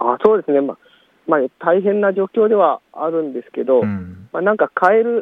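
A man talks at a high pitch and moderate pace with lively intonation. His loudness swings widely. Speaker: farmer and author. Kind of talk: casual interview. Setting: outdoors in a plum orchard.

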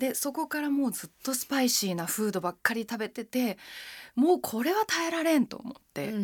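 A woman speaks in a high voice at a fairly quick pace. Her intonation is lively. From Japan, Machida, Tokyo. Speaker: henna artist, essayist and radio navigator. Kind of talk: casual interview chat.

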